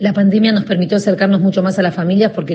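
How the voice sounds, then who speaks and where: Over noticeable background noise, a woman speaks with a Rioplatense accent. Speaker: journalist and charity founder. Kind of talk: recorded testimony.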